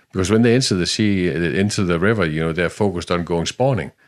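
Speaking at a very fast pace in a Danish accent, a man with a very deep, low pitch shows ordinary pitch variation against a quiet background. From Denmark, Jutland. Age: 50s. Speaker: salmon fishing guide. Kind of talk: interview. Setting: outdoors by a river.

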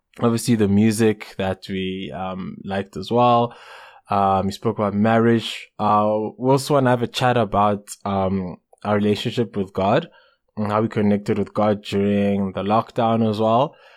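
Over a silent background in a very clean recording, a man with a plain, everyday voice talks at a moderate pace, his fairly low pitch held in fairly even intonation. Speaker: podcast co-host. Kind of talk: casual chat.

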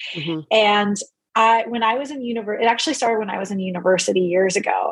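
A normal speaking voice, its pitch rising and falling in a typical way. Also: woman. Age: 40s. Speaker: new mother sharing birth story. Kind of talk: casual interview.

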